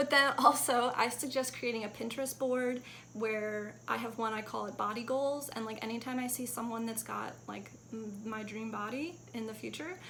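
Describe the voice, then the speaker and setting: A woman with a fairly high pitch and fairly even intonation shows big swings in loudness, with audible room echo and noticeable background noise. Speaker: fitness vlogger. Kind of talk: casual vlog tips. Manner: fast; casual, filler-heavy.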